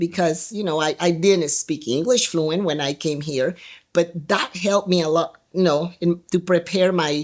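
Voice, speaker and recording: Using a fairly low pitch and fairly even intonation, a woman with a Spanish accent talks at a moderate pace. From Guatemala. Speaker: trafficking survivor. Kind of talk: interview testimony. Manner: halting.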